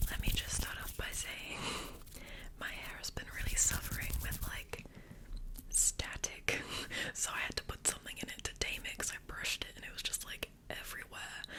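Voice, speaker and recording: A woman whispering at a moderate pace against noticeable background noise. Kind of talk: ASMR whisper ramble to camera. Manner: whispered, soft, rambling.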